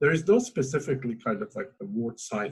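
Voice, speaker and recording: A somewhat breathy man's voice with lively intonation and an Azerbaijani accent. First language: Azeri. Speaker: talk show host. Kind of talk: interview. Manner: halting.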